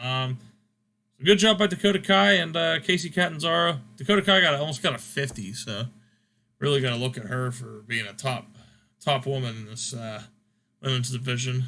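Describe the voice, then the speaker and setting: At a moderate pace with long, frequent pauses, a man speaks at a medium pitch in a bright, sharp tone, with very wide pitch swings and big swings in loudness. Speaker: gaming channel host, wrestling sim commentator. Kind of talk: casual chat. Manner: halting, stumbling over words.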